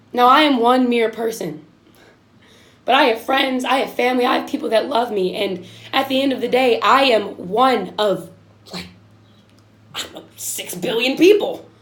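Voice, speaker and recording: At a high pitch with ordinary pitch variation, a woman speaks in a passionate tone at a moderate pace, with big swings in loudness, long, frequent pauses and audible room echo. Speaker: video podcast host. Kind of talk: impassioned monologue. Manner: passionate, emphatic.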